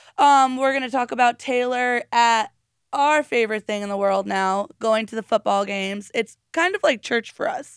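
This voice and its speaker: A woman with a plain, everyday voice, fairly high in pitch, with lively intonation at a moderate pace, on a very clean recording with a silent background and a dry, close sound with no echo. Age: 30s. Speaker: podcast co-host and field reporter. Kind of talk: casual chat.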